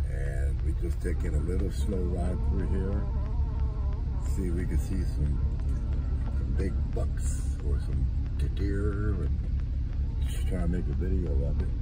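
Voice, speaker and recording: Clear music plays in the background as a man talks fairly slowly, with long, frequent pauses. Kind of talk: casual vlog chat. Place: car. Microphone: phone near.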